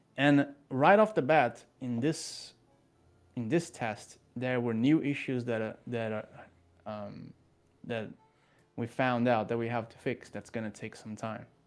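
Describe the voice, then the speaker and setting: A man with a non-native accent speaks at a fairly slow pace over music in the background. His medium pitch shows ordinary variation, and his loudness swings widely. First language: not English. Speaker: game developer. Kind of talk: interview.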